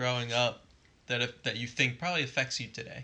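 At a fairly quick pace, a man talks with a bright, sharp tone at a medium pitch. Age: 20s. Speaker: podcast co-host. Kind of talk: casual chat. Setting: sitting on a couch.

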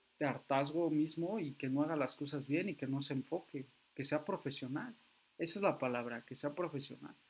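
Moderately paced speech from a man with a rather high voice and typical pitch movement. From Mexico City area. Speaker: football fan podcaster. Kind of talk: solo football commentary podcast. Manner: halting, many fillers.

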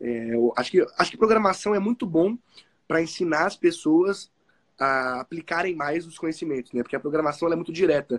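This man's voice is high-pitched, moving at a fairly quick pace with lively intonation and big swings in loudness, in a dry, close sound with no echo. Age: 20s. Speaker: entrepreneur and programmer. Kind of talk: interview.

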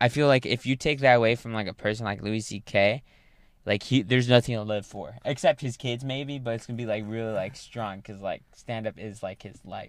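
Heard in a very clean recording with a silent background, a man in a normal speaking voice talks at a fairly quick pace, medium pitch and fairly even intonation. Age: 18. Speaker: open mic stand-up comic. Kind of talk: casual chat.

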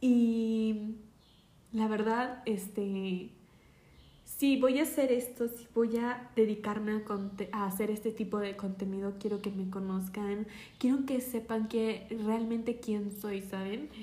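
A woman's fairly high voice with a Mexico City accent, at a very slow pace and with fairly even intonation. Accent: Mexican Spanish (Mexico City). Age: 20s. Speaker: podcaster. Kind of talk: personal monologue podcast. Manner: hesitant, many fillers.

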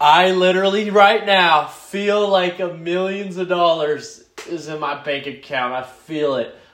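A man speaks with an energetic tone at a fairly slow pace with hardly any pauses, his high pitch showing ordinary variation amid audible room echo. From France. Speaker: podcast host, Marine. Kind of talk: casual solo monologue. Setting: solo recording, first take. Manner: energetic, rambling unscripted.

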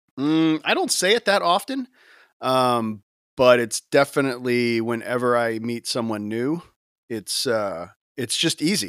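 On a very clean recording with a silent background, a man speaks in an ordinary speaking voice with lively intonation, the sound dry and close with no echo. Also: medium pitch for a man, moderate pace. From US South, Gulf Coast Florida (Tampa area). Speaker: worship leader. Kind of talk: casual chat.

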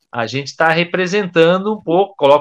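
A man's fairly high, bright and sharp voice with lively intonation. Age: 40s. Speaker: guitarist and dentist. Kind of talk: casual chat.

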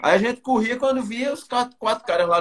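A man with a high pitch talks at a very fast pace over noticeable background noise. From Campina Grande, Paraíba, Brazil. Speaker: runner. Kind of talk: casual chat.

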